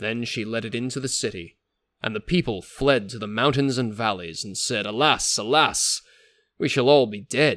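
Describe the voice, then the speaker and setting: A man's an unremarkable speaking voice at a moderate pace with ordinary pitch variation, on a very clean recording with a silent background. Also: medium pitch for a man, big swings in loudness. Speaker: podcast host. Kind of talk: scripted narration of saints' history, with a legend read aloud in archaic prose. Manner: formal, measured, storytelling tone; solemn and epic in the legend passage; reverent, earnest.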